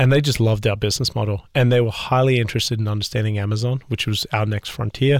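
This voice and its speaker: Recorded very cleanly against a silent background, with a dry, close sound and no echo, a man with an Australian accent speaks with fairly even intonation. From Australia, Adelaide. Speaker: business founder and CEO. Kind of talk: interview.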